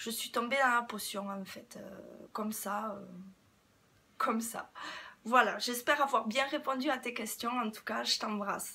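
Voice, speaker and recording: A woman speaks with a fairly high pitch in a southwestern French accent. Her pace is fairly slow, her intonation fairly even, and she leaves long, frequent pauses. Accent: southwest French. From southwest France, Toulouse area. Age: 30s. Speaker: beauty YouTuber. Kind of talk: casual Q&A vlog. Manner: hesitant, many fillers.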